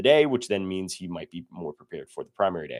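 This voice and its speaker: This man's pitch swings very widely as he speaks. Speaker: powerlifting coach. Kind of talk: livestream tutorial. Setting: livestream. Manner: fast; casual, filler-heavy.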